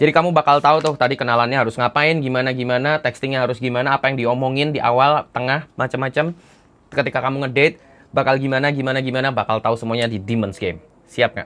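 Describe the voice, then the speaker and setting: Shrill and at a very fast pace, a man speaks. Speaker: dating coach. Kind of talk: online course preview. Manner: animated.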